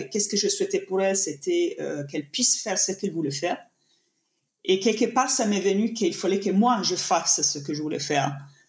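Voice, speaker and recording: A woman with an Italian accent talks at a fairly quick pace, her medium pitch carrying lively intonation. Her voice is somewhat breathy. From Italy. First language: Italian (speaking French). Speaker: painter and yoga teacher. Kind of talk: interview conversation. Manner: halting.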